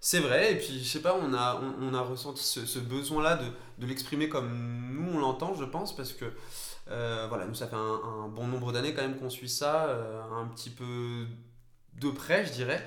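Through audible room echo and noticeable background noise, a man speaks at a moderate pace in a medium pitch with ordinary pitch variation. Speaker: football podcast co-host. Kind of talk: casual chat.

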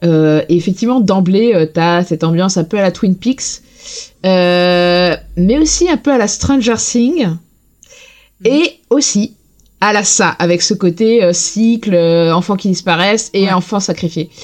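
With very even loudness, a woman of medium pitch speaks at a very slow pace and ordinary pitch variation. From Lorraine, France. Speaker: podcast guest, TV series fan. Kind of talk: casual chat.

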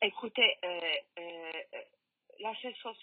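A woman with a medium pitch talks at a very slow pace. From Poland. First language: Polish (speaking French). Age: 50s. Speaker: bereaved mother. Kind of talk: testimony. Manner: halting.

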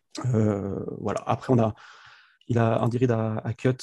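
This man's voice sits at a medium pitch with a dark, mellow tone, recorded dry and close with no echo. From France, Grenoble. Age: 20s. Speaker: sports fan account manager. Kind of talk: casual chat.

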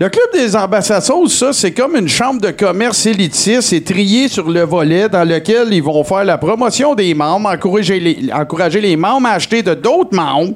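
Noticeable background noise sits behind a man who speaks at a high pitch with lively intonation and very even loudness. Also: moderate pace. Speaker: comedy segment performer. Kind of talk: live comedic chronicle.

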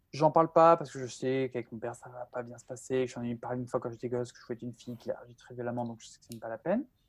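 Her pitch very deep and low, a woman talks at a very fast pace with ordinary pitch variation. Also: big swings in loudness. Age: 20s. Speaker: bioinformatician and science YouTuber. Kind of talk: interview. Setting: video call. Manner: halting.

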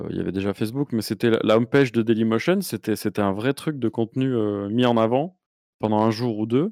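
Recorded very cleanly with a silent background and a dry, close sound with no echo, a man uses an ordinary speaking voice at medium pitch, moderate pace and ordinary pitch variation. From southern France. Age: 40s. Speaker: YouTuber. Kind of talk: casual chat.

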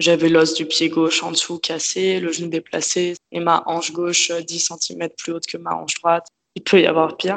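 Speaking at a moderate pace, a woman with a fairly low pitch keeps a monotone, flat intonation. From France, Paris. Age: 20s. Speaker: yoga teacher. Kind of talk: personal testimony interview. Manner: calm, detached. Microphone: poor sound quality.

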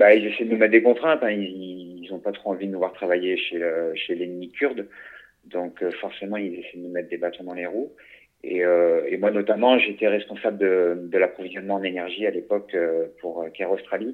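A man's fairly low voice at a moderate pace, with fairly even intonation and big swings in loudness. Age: 50s. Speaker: humanitarian security trainer. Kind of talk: interview. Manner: halting.

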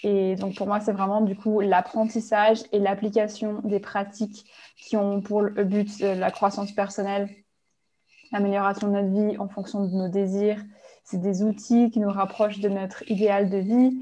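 A woman's dark, mellow voice at a moderate pace, monotone and flat, in a very clean recording with a silent background. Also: medium pitch for a woman. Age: 20s. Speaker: life coach. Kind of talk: interview.

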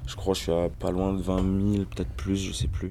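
A man's very deep, low voice at a moderate pace against noticeable background noise. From rural Ain, eastern France. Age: 30s. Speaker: rapper. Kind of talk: interview.

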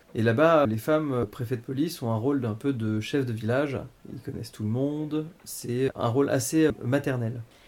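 A normal speaking voice from a man, moderate in pace, with ordinary pitch variation. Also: medium pitch for a man. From Paris, France. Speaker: adoptee telling his story. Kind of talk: personal testimony interview.

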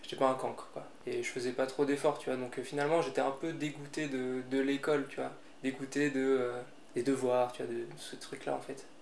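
With noticeable background noise behind him, a man speaks fairly quickly at a medium pitch in a flat monotone. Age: 20s. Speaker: gardener. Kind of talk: interview. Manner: hesitant, many fillers.

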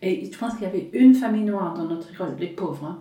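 A woman with an English accent, medium pitch and ordinary pitch variation, noticeable background noise and audible room echo. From rural England. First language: English (speaking French). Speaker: stand-up comedian. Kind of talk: casual chat. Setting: at home.

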